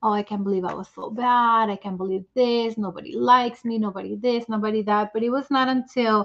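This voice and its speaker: Someone with a non-native accent speaks at a moderate pace with fairly even intonation. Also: woman. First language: not English. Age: 40s. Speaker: author. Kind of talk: testimony.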